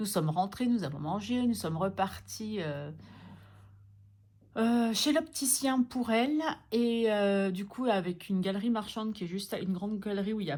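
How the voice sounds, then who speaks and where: Speaking at a moderate pace with lively intonation, a woman with a medium-pitched, somewhat breathy voice leaves long, frequent pauses. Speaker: budgeting vlogger. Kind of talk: casual vlog. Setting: at home. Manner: soft-spoken; hesitant with fillers.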